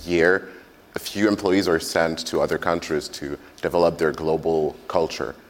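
Over noticeable background noise, a man with a very deep, low voice talks at a fairly quick pace, with ordinary pitch variation. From France. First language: French. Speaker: agency manager. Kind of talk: panel discussion.

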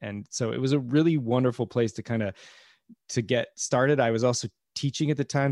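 A man with an American accent has an unremarkable speaking voice and ordinary pitch variation, talking at a moderate pace with a dry, close sound, no echo, and a very clean recording with a silent background. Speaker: podcast producer and comedian. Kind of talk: casual interview chat.

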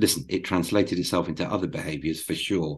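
A man with a British accent, at a fairly quick pace with ordinary pitch variation, against a quiet background. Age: 50s. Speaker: former advertising agency CEO. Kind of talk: interview. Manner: halting, repeats words.

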